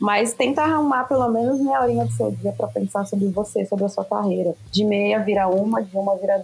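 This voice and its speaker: A woman speaks at a fairly quick pace with medium pitch. Noticeable background noise runs underneath. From southern Minas Gerais, Brazil. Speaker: music career manager and entrepreneur. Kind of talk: interview.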